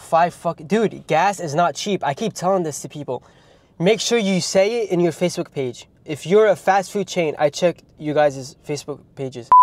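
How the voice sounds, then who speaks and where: Light background noise sits under a man's high-pitched voice, recorded dry with no echo. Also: ordinary pitch variation. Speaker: YouTuber; food vlogger. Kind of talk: casual comedic vlog with humor and swearing; casual vlog chat. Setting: fast food restaurants, ordering at counter. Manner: animated, joking, casual. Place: car. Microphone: phone near.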